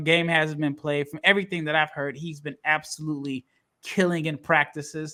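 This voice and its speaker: A bright, sharp voice moves at a moderate pace on a very clean recording with a silent background. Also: man. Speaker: NBA draft podcast host. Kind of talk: casual podcast chat, draft recap.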